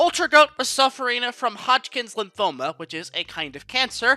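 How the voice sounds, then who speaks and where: A man speaks in a raised, projected voice at an extremely high pitch and a fairly quick pace. His tone is bright and sharp, and the sound is dry and close with no echo. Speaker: gaming commentary youtuber. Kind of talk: scripted narration. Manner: casual.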